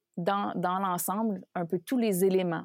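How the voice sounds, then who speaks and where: An ordinary speaking voice, with fairly even intonation at a fairly slow pace, comes through dry and close with no echo on a very clean recording with a silent background. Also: woman. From Quebec. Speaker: leadership coach. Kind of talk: interview.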